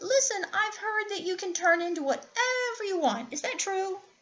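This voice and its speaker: A woman does a put-on, squeaky character voice at an extremely high pitch and a moderate pace. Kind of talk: bedtime story. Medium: read story. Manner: smooth, persuasive.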